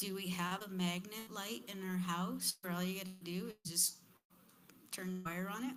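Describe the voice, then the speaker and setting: Using a normal speaking voice, a woman talks at a moderate pace with a medium pitch and fairly even intonation. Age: 50s. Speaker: panelist at community forum. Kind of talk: panel discussion.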